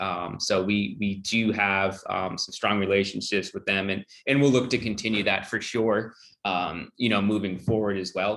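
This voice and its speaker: A plain, everyday voice, this man's is fairly low in pitch, with fairly even intonation at a moderate pace. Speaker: HR director. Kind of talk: Q&A on a video call.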